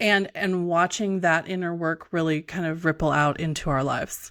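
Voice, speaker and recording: A woman's fairly low-pitched voice with ordinary pitch variation, an ordinary speaking voice at a moderate pace, over a very clean, silent background. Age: 40s. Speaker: podcast host. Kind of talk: podcast interview.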